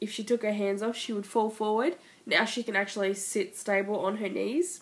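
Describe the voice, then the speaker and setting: Over a silent background in a very clean recording, a woman talks at a moderate pace with an Australian accent. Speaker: mother. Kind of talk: casual vlog talk to camera.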